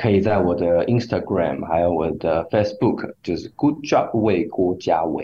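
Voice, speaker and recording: A man with a fairly low pitch talks at a fairly slow pace, somewhat breathy, with lively intonation. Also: hardly any pauses. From Taiwan. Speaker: singer-songwriter. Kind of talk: interview. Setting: radio studio.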